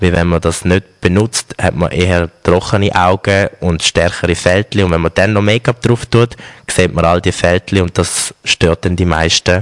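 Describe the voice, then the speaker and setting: A man's very deep, low voice at a moderate pace, with hardly any pauses, fairly even intonation, very even loudness and a dry, close sound with no echo. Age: 20s. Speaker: make-up artist and store manager. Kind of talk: interview.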